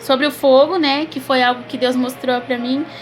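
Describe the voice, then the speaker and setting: With noticeable background noise behind her, a woman talks at a fairly quick pace in a high pitch. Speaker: preacher. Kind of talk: sermon. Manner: fast.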